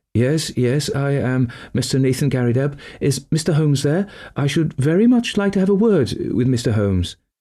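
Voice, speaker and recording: A man's put-on character voice, shaky and fairly high-pitched, with very wide pitch swings, very even loudness and a moderate pace. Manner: eager.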